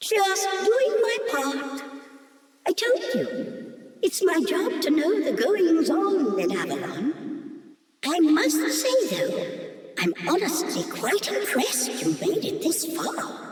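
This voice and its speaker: Put-on character voice at an extremely high pitch, very slow pace and clear echo. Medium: video game. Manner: warm, encouraging.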